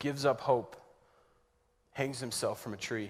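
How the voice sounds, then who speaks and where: A man with a normal speaking voice talks at a moderate pace, fairly high in pitch. His pitch varies in an ordinary way, in a very clean recording with a silent background. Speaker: spoken word poet. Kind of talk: spoken word poetry performance, church Good Friday retelling.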